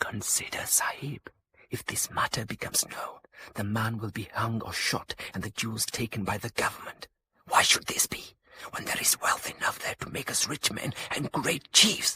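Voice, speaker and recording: Whispering in a put-on character voice, a man speaks at a moderate pace, recorded with a dry, close sound and no echo. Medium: audio drama. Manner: calm, formal, measured and menacing.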